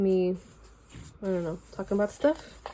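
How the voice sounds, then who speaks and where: In a Valley Girl accent, a woman speaks at a medium pitch and moderate pace, relaxed in tone with ordinary pitch variation. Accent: Valley Girl accent, picked up in LA. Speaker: artist sharing sketchbook. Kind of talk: casual video walkthrough. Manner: relaxed, filler-heavy.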